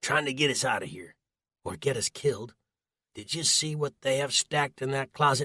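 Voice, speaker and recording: A man does a gruff, put-on character voice at a medium pitch and a moderate pace, recorded with a dry, close sound and no echo. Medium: read story. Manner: gruff, blunt.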